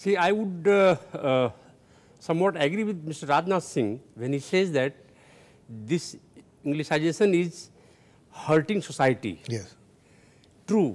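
With lively intonation, a man speaks fairly slowly in a fairly high pitch. He leaves long, frequent pauses. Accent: Indian. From India. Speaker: social commentator. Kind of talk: televised panel debate. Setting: studio. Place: studio. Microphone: lapel.

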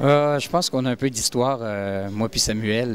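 A man with a Quebec accent talks at a moderate pace with ordinary pitch variation. The sound is dry with no echo, over light background noise. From Canada. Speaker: poker player. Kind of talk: interview answer. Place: bar. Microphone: handheld.

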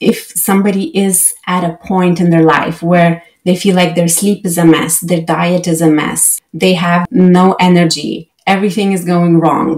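An ordinary speaking voice comes through with fairly even intonation against a quiet background. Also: woman. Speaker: remote guest. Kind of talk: interview answer. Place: home room. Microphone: webcam.

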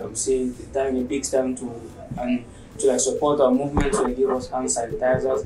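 Against noticeable background noise, a man with a fairly high pitch talks at a moderate pace with fairly even intonation. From Cameroon, Limbe (anglophone southwest). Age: 20s. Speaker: barber. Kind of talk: interview monologue. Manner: hesitant, many fillers. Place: home room.

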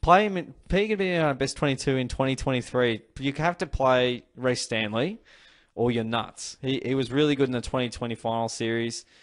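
This man has an Australian accent and a medium pitch. He keeps a moderate pace with ordinary pitch variation. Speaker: AFL fan channel host. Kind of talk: solo sports review vlog. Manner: casual, hesitant with many fillers.

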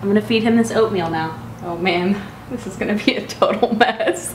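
A woman's lively intonation at a fairly quick pace, with audible room echo and light background noise. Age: 20s. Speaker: vlogger, new mother. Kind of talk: casual vlog monologue. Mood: warm, cheerful, wrapping up. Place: home room. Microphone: camera far.

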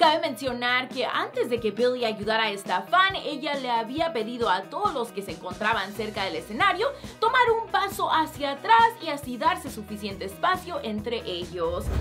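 Clear music plays behind a woman who speaks at a moderate pace in a high voice. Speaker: entertainment news host. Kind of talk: news presentation. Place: studio.

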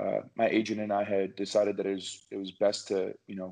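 Over a quiet background, a man talks at a moderate pace in a fairly low, dark, mellow voice with monotone, flat intonation. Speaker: guest. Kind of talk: interview answer. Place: home room. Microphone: video call.

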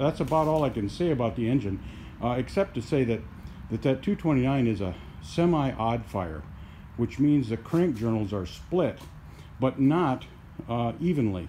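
Over light background noise, a man speaks at a moderate pace in a somewhat breathy voice, with very wide pitch swings and long, frequent pauses. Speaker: hobbyist tractor restorer. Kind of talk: lecture-style explanation of a project. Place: garage. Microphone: phone near.

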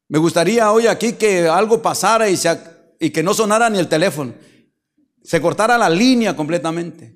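Over a quiet background, a man with a high pitch keeps a moderate pace, very even loudness and ordinary pitch variation. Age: 50s. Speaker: pastor. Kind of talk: sermon. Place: church. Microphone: handheld.

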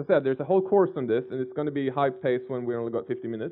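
Speech from a man comes at a very fast pace, the background quiet. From Sweden. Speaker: software developer. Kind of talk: technical lecture with live coding. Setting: conference stage with audience. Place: hall.

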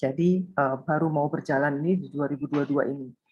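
A woman's very deep, low-pitched voice comes through over a quiet background. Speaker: small business owner, participant. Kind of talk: interview answer. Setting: video call. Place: home room. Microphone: video call.

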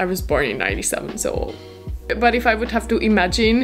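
A woman's very fast speech with faint music in the background. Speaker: vlogger. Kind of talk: casual vlog chat. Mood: cheerful, animated. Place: home room.

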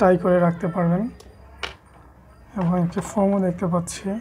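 A woman talks in a fairly low voice with monotone, flat intonation. Light background noise can be heard. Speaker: product reviewer. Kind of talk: unboxing tutorial. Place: home room.

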